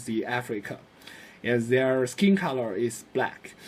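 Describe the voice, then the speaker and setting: Someone with a Chinese accent speaks at a fairly slow pace. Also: man. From China. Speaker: student. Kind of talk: class presentation. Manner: hesitant, many fillers.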